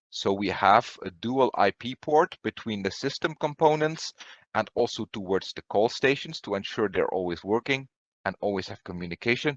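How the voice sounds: A man speaks with a fairly low pitch and lively intonation. The sound is dry and close, with no echo. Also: moderate pace.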